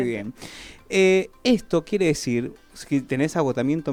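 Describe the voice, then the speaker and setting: An ordinary speaking voice with lively intonation. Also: man. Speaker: radio host. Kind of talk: radio talk segment. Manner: conversational, explanatory.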